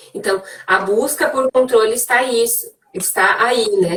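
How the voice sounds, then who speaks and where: A woman's voice sits fairly high. Its pitch varies in an ordinary way. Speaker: psychologist. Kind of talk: live interview conversation. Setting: Instagram live video call.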